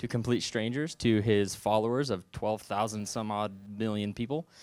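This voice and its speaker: An unremarkable speaking voice from a man with an American accent, medium pitch and moderate pace, in a very clean recording with a silent background. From Southwest Missouri. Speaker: youth minister. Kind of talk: sermon. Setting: church.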